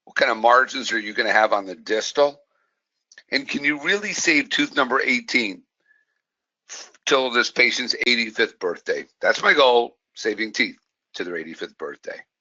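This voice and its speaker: With an American accent, a man speaks at a moderate pace, leaving long, frequent pauses. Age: 60s. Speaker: dentist and continuing education lecturer. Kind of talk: webinar lecture. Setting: online webinar. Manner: enthusiastic, conversational.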